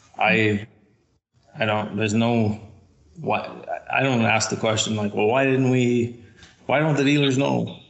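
In a Canadian Prairie accent, a man talks at a fairly slow pace, leaving long, frequent pauses. His loudness is very even and his pitch variation ordinary. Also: medium pitch for a man. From Canada, northwest Saskatchewan. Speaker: sales director, agricultural engineer. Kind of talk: interview.

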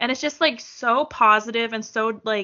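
A woman with a plain, everyday voice speaks at a fairly slow pace. Her pitch is fairly high. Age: 30s. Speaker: returning podcast guest, TV fan. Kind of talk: casual chat.

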